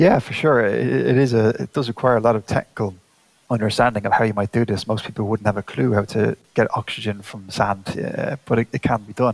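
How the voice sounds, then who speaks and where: A man with an Irish accent talks fairly quickly at a fairly low pitch, with vocal fry and ordinary pitch variation, in a dry, close recording with no echo. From Ireland. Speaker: space agency scientist. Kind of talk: interview.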